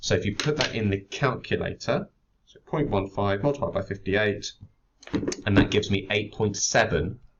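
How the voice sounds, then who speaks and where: A somewhat breathy man with a British accent, at a moderate pace with big swings in loudness. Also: fairly low pitch for a man, ordinary pitch variation. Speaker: chemistry teacher. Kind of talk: tutorial.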